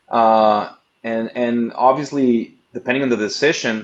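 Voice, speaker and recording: Here a man is speaking. He has a strong non-native accent. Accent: thick foreign. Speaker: investment firm executive. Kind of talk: presentation. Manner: halting, repeats words.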